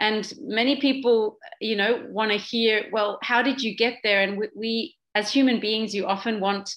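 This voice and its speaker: Moderate pace and fairly even intonation, with a slight Australian accent. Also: woman. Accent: slight Australian twang. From Papua New Guinea, Swiss family. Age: 40s. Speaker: social entrepreneur. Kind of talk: talk.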